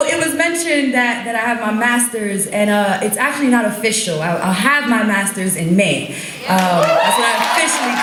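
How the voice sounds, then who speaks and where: With an American accent and a fairly high pitch, a woman speaks with lively intonation and hardly any pauses. Noticeable background noise sits behind her. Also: moderate pace. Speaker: poet. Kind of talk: stage talk to audience. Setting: live stage. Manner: casual, conversational.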